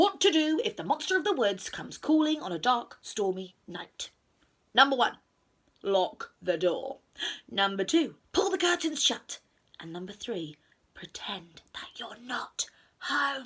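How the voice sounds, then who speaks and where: Using a put-on character voice, a woman speaks high and fairly slowly with very wide pitch swings. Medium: read story. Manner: calm, reassuring.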